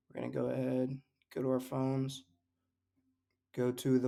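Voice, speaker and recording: The man's pitch sits in the medium range. His intonation is monotone and flat. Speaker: trading video creator. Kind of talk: screen-share chart analysis tutorial. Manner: fast, rushed speed run; casual, slangy.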